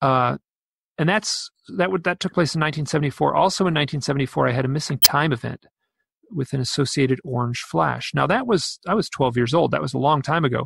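Vocal fry runs through speech at a moderate pace with ordinary pitch variation, the sound dry and close with no echo. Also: man. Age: 50s. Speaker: author and UFO researcher. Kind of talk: interview.

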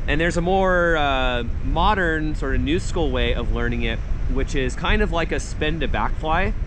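A man at a moderate pace, in a dry sound with no echo and with noticeable background noise. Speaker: paragliding coach. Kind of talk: tutorial. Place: open country. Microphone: phone near.

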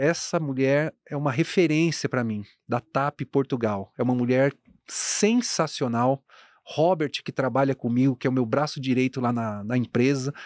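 A man speaks at a moderate pace with ordinary pitch variation. The background is quiet, and the sound is dry with no echo. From Guarulhos, São Paulo state, Brazil; São Paulo state, Brazil. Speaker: fashion entrepreneur; podcast guest. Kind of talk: casual interview chat. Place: studio. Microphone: studio mic.

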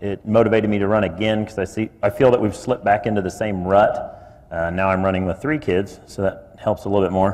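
Noticeable background noise sits behind a man speaking with an American accent. His pitch is fairly low, his intonation fairly even, and his pace fairly quick. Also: hardly any pauses. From Kansas. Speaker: city commission candidate. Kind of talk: candidate forum statement.

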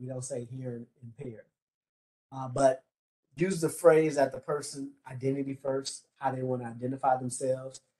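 Over a quiet background, a man with a dark, mellow, somewhat breathy voice speaks at a moderate pace in a flat monotone, his loudness rising and falling sharply. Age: 50s. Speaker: presenter. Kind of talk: training lecture. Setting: video call from office. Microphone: video call.

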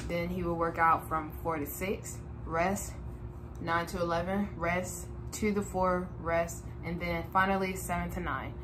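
A woman speaks over noticeable background noise. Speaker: vlogger. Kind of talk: casual vlog chat. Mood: inspired, earnest. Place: home room. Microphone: webcam.

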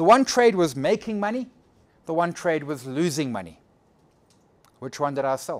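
Here a man speaks at a fairly high pitch with very wide pitch swings. He leaves long, frequent pauses. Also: moderate pace. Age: 40s. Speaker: trading educator. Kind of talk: lecture. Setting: stage with audience.

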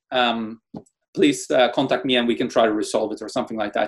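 With a Norwegian accent, the speaker talks over a quiet background. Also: man. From Norway. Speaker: tech entrepreneur and lawyer; lawyer. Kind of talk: interview. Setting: video call. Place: home room. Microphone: video call.

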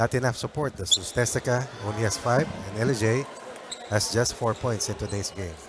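A man with an ordinary speaking voice, medium pitch, ordinary pitch variation and a moderate pace. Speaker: color commentator. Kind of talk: live sports commentary. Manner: conversational, upbeat analyst, Taglish.

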